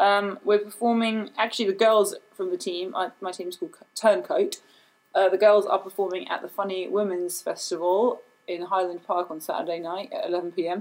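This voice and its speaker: A woman talks in a British accent at a medium pitch. She keeps a moderate pace and a fairly even intonation. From England. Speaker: video producer and comedic performer. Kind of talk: casual chat.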